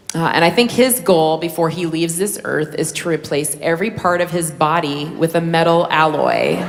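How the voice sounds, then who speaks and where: A woman with an American accent speaks at a moderate pace and fairly low pitch, her intonation fairly even and with hardly any pauses, against noticeable background noise. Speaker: stand-up comedian. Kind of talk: stand-up comedy set.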